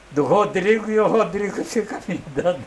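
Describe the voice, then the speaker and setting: Over noticeable background noise, a man talks at a fairly slow pace in a high pitch for a man. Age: 90s. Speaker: retired condominium manager. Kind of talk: interview. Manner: halting, repeats words.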